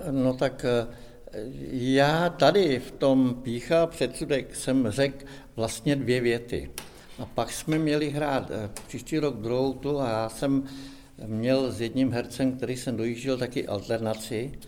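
Intonation stays fairly even as the speaker moves along very slowly. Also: man, medium pitch for a man. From Czech Republic, Šumava region near Rabí. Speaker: amateur actor. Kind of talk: casual chat.

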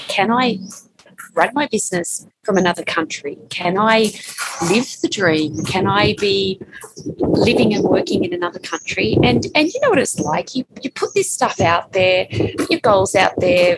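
A woman with an Australian accent speaks at a fairly slow pace in a medium pitch with very wide pitch swings, over noticeable background noise. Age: 50s. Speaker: time management expert and author. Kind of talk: interview. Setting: remote call from co-working space.

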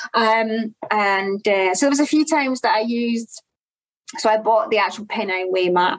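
With a Glaswegian accent, a woman speaks at a moderate pace, her fairly high pitch varying in an ordinary way and her loudness very even. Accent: Glaswegian Scottish. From Scotland, Glasgow. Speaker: ultrarunner. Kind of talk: interview.

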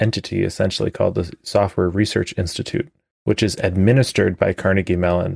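In a normal speaking voice with an American accent, a man speaks at a fairly low pitch with ordinary pitch variation, the sound dry and close with no echo on a very clean recording with a silent background. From US Midwest (Chicago area). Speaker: orchestral trombonist. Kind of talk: interview.

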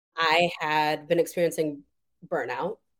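A woman with an unremarkable speaking voice, fairly low pitch, and moderate pace. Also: very clean recording, silent background. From Madison, Wisconsin, US Midwest. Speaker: nursing professor and researcher. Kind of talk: interview.

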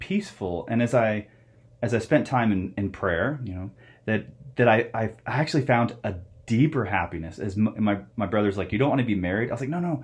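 A man with an American accent talks at a fairly quick pace, his pitch in the middle range. He has an ordinary speaking voice with lively intonation. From US Southwest, Phoenix, Arizona. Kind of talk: interview.

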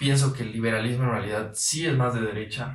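A man at a moderate pace, somewhat breathy, with fairly even intonation. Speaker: podcast host. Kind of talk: casual interview. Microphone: audio problem in this episode.

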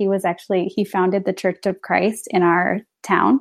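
In a Midwestern American accent, a woman talks at medium pitch and a moderate pace against a quiet background. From rural northern Illinois. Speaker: ministry event manager. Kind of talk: casual interview chat. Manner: hesitant, many fillers.

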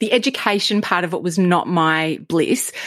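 Enthusiastic in tone, a woman with an Australian accent speaks on a very clean recording with a silent background. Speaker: podcast host. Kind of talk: interview conversation.

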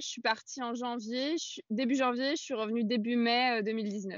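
Speaking at a fairly slow pace, a woman uses a plain, everyday voice with a fairly high pitch and ordinary pitch variation. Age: 20s. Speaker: adventurer and feminist author. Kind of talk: casual interview.

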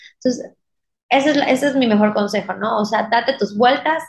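A woman speaks in a high voice. Her pitch variation is ordinary. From Mexico, Mérida, Yucatán. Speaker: wedding dress designer. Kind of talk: casual interview.

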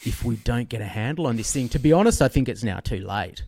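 In a very clean recording with a silent background, a man talks at a fairly quick pace with a medium-pitched voice. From Australia. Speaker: author and financial journalist. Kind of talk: interview conversation.

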